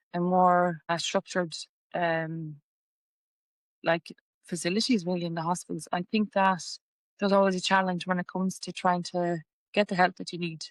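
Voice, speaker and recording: In a western Irish accent, a woman speaks at a moderate pace with a fairly low pitch and monotone, flat intonation, leaving long, frequent pauses on a very clean recording with a silent background. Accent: Irish (west of Ireland). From Ireland, Galway. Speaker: patient sharing illness story. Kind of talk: testimony.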